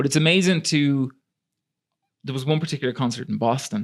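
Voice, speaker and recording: On a very clean recording with a silent background, a man with an Irish accent talks at a very fast pace with ordinary pitch variation. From Ireland. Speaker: singer-songwriter. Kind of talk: casual chat.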